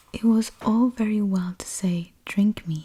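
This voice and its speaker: Soft-spoken speech unfolds very slowly. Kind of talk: book reading aloud, bedtime story.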